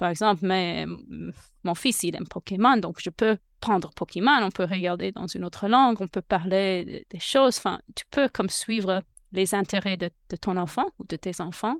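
A woman with an English accent speaks at medium pitch and a moderate pace with ordinary pitch variation, in a dry, close sound with no echo on a very clean recording with a silent background. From United States. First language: English (speaking French). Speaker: podcaster and bilingual parenting advisor. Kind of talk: interview. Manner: halting; talkative.

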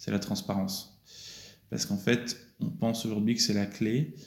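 A man's voice has a fairly low pitch and a dark, mellow tone. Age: 30s. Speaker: entrepreneur. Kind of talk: interview. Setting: company office.

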